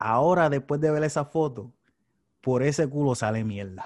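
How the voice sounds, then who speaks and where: Against a quiet background, a man with a Puerto Rican accent talks at a moderate pace in a fairly high pitch. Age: 30s. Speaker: podcast host. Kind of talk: casual chat.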